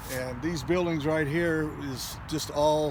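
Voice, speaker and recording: A man with an American accent at a fairly slow pace, with audible room echo. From Long Beach, California. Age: 70s. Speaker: army veteran. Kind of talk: casual recollection on a site tour. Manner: hesitant, many fillers.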